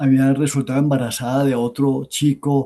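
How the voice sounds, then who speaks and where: A dark, mellow tone comes through at a moderate pace over a quiet background. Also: man. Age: 70s. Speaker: popular educator and lecturer. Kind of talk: academic talk answering questions.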